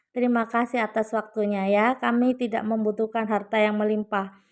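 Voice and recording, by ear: Fairly quick and fairly high, a woman's slightly mellow voice shows little pitch movement on a very clean recording with a silent background.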